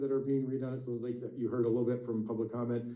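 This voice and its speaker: Audible room echo mixes with noticeable background noise while this man talks. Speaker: parks department official. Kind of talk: public meeting update. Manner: fast; hesitant, many fillers.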